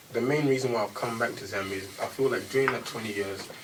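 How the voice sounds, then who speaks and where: A man's medium-pitched voice with a British accent and lively intonation, plus audible room echo and noticeable background noise. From England, London. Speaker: rapper. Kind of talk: radio interview.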